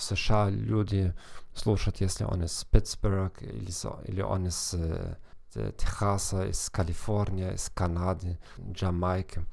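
A man with a German accent speaks at a very slow pace in a very deep, low pitch. He keeps his intonation fairly even and leaves long, frequent pauses. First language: German (speaking Russian). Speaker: psychologist and language teacher hosting a podcast. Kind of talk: podcast monologue. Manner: halting with fillers and self-corrections.

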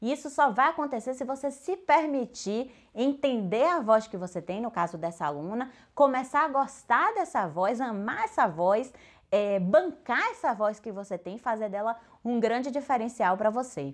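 Speaking at a moderate pace, a woman uses a fairly high pitch that swings very widely. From Bahia, Brazil. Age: 40s. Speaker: speaking coach and actress. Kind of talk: podcast monologue tutorial.

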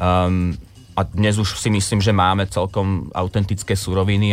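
Monotone, flat intonation from a man with a very deep, low pitch. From Slovakia. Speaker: ramen restaurant owner. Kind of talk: interview.

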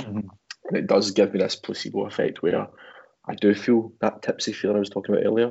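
A man with a Glaswegian accent speaks at a very fast pace. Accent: Glaswegian Scottish. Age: 30s. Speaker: photographer and guitarist. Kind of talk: casual chat.

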